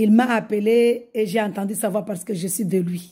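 A woman speaks very slowly in a fairly high, somewhat breathy voice with a dark, mellow tone. Her intonation is fairly even, over a quiet background. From Mayotte. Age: 50s. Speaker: religious convert. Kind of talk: testimony. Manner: halting. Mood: joyful, fervent. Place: home room. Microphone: phone near.

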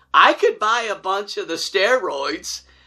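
Pitched high with big swings, a man speaks at a fairly slow pace in a bright, sharp tone with a slightly husky edge.

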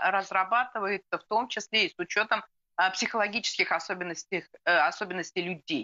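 Against a quiet background, a woman speaks at medium pitch with ordinary pitch variation. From Russia. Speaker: political analyst; guest. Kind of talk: live TV interview. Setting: remote video link. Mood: calm, analytical. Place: home room. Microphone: video call.

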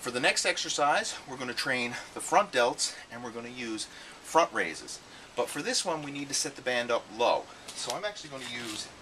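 Big swings in loudness from a man at a moderate pace, with light background noise. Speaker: fitness trainer. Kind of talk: tutorial. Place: garden.

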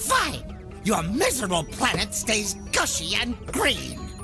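In a put-on character voice with vocal fry and very wide pitch swings, the speaker goes at a slow pace over clear background music. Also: man, high pitch for a man.

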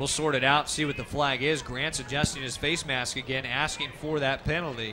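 A man with a fairly high pitch moves at a fairly quick pace while noticeable background noise carries on. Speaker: football play-by-play broadcaster. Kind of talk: sports play-by-play commentary, demo reel. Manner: fast, energetic.

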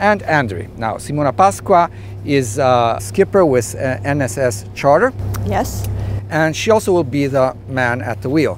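Over music in the background, a man speaks at a fairly slow pace with very wide pitch swings, the sound dry with no echo. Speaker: sailing instructor. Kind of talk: tutorial. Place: boat. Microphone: lapel.

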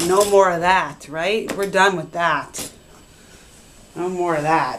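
A woman speaks at a very slow pace. Her pitch is fairly low, with light background noise. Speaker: mother. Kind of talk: casual talk to pet. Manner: baby voice to pets. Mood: warm, excited. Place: bathroom. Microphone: phone near.

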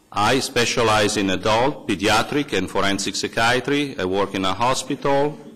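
Speaking at a moderate pace, a man with a non-native accent shows ordinary pitch variation. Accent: foreign. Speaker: psychiatrist. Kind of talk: testimony. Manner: formal.

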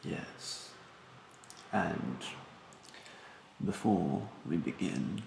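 A man puts on a character voice at a low pitch, full of vocal fry and lively intonation. He speaks very slowly, with audible room echo. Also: slightly mellow tone.

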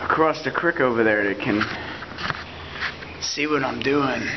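A man talks fairly slowly, his pitch varying in an ordinary way, with noticeable noise behind him. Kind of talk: casual vlog chat. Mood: laid-back, rambling. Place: tunnel cave. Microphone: phone near.

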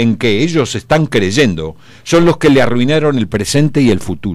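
Vocal fry runs through a man's medium-pitched voice as he speaks at a moderate pace with very wide pitch swings. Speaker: radio columnist. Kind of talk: opinion column. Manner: animated.

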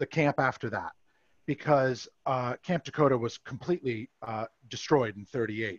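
In a normal speaking voice, a man with an American accent and a fairly high pitch speaks at a moderate pace with ordinary pitch variation, the sound dry with no echo and the background quiet. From Massachusetts, US. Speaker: camp historian; presenter. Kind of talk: history presentation. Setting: video call. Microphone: headset.

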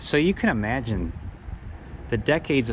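Vocal fry runs through a voice that moves at a moderate pace with very wide pitch swings, set against noticeable background noise. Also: man. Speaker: urban explorer narrator. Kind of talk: casual tour commentary. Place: street. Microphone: phone near.

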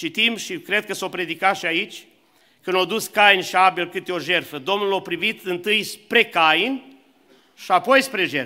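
A man with a high pitch and a bright, sharp tone uses a raised, projected voice. He speaks at a fairly slow pace with ordinary pitch variation against a quiet background. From Romania, Suceava; Romania. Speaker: preacher. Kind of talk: sermon. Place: church. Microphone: podium.

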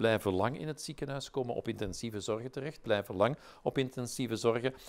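This man speaks at a very fast pace with lively intonation. His pitch sits in the medium range. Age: 60s. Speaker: professor, vaccine expert; professor. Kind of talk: interview. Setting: webinar. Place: studio. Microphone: lapel.

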